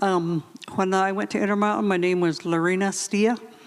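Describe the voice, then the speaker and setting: A woman with a Navajo accent speaks at a medium pitch with fairly even intonation, amid noticeable background noise. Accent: Navajo-inflected American English. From Navajo Nation, US Southwest. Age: 60s. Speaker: former boarding school student. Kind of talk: panel discussion.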